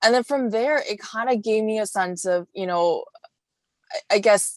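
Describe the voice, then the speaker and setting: A woman with a fairly high pitch talks at a moderate pace with ordinary pitch variation, the sound dry and close with no echo. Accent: Chinese. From China, moved to Vancouver at 12-13. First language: Chinese. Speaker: wellness coach. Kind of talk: podcast interview.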